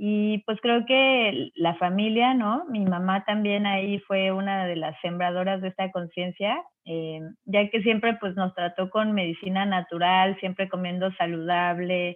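With a plain, everyday voice, a woman in a medium pitch speaks with ordinary pitch variation and hardly any pauses. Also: fairly slow pace. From Mexico City, raised in Cancún. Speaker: organic gardening entrepreneur. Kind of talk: interview conversation.

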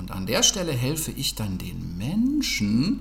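A man speaks over noticeable background noise. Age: 40s. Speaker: dog trainer. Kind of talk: casual interview.

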